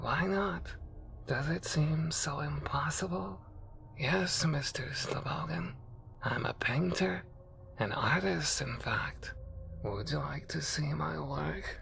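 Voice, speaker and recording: A man cackles in a put-on character voice. His pace is fairly slow. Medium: read story. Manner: cryptic, knowing.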